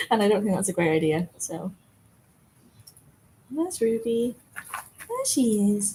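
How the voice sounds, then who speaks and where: A woman speaks with lively intonation and long, frequent pauses. Noticeable background noise runs under her voice. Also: medium pitch for a woman, fairly slow pace. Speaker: dog owner vlogger. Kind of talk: casual live-stream chat. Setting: outdoors in the yard by a pool, in the rain. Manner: telephone voice. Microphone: laptop mic.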